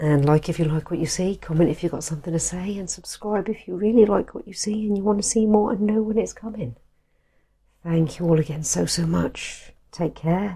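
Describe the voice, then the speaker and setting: A somewhat breathy woman's voice, fairly low and dark, mellow in tone, fairly quick, with ordinary pitch variation and big swings in loudness. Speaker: art video creator. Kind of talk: casual tutorial outro. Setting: at home at night. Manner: soft-spoken.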